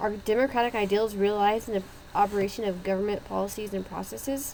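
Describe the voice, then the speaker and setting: The speech rushes along at a very fast pace with fairly even intonation. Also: woman, medium pitch for a woman. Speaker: university student. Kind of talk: class presentation. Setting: background noise. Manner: stuttering.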